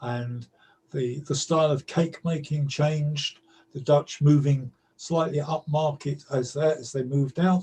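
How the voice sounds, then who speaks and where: In a London accent, a man with a dark, mellow tone and a fairly high pitch speaks at a fairly slow pace, somewhat breathy, in a monotone, flat intonation. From London, East End. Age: 70s. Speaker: storyteller. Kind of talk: interview. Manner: halting.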